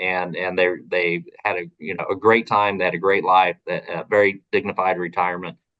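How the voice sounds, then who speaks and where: Bright and sharp in tone, this voice moves at a fairly quick pace with an Oklahoma accent. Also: man. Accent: Oklahoma accent, noticeable. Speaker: advocacy organization policy director. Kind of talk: recorded interview. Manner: casual, many fillers and repetitions.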